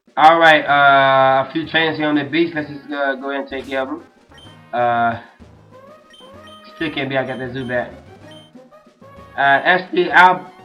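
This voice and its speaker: Over background music, a man talks at a moderate pace with fairly even intonation and long, frequent pauses. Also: fairly high pitch for a man, big swings in loudness. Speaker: let's player. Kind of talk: gameplay commentary. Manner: casual, hesitant.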